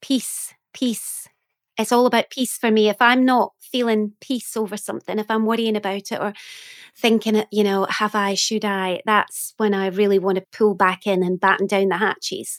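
At a moderate pace, a woman with a Scottish accent speaks in a fairly high pitch with monotone, flat intonation, in a dry, close sound with no echo on a very clean recording with a silent background. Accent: soft Scottish. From Scotland. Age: 40s. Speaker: poet and author. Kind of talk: casual interview chat.

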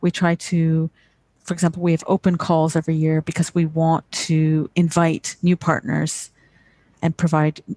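A woman with a plain, everyday voice speaks at a fairly low pitch with fairly even intonation, in a dry, close sound with no echo. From England, then Canada. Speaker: nonprofit executive director. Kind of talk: interview.

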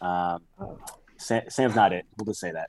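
This is an ordinary speaking voice from a man, at a fairly quick pace with fairly even intonation. The sound is dry and close, with no echo. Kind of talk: casual sports banter and betting picks.

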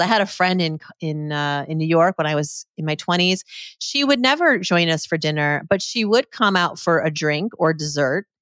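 This is a woman with an ordinary speaking voice and a fairly low pitch. The recording is very clean with a silent background, and the sound is dry and close with no echo. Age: 40s. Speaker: financial expert and author. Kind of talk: interview conversation.

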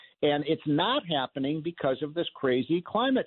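With lively intonation and an American accent, a man speaks in a plain, everyday voice that sits fairly high. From US Midwest, suburban Chicago. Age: 60s. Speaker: radio host, economist. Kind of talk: talk radio monologue and call-in.

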